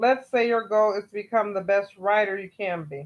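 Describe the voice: A female voice, medium in pitch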